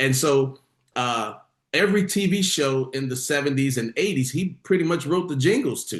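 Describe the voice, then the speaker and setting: A man speaks at a moderate pace in a fairly high pitch. His voice is somewhat breathy with ordinary pitch variation. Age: middle-aged. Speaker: podcaster and stage actor. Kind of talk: casual interview chat. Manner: halting, many restarts.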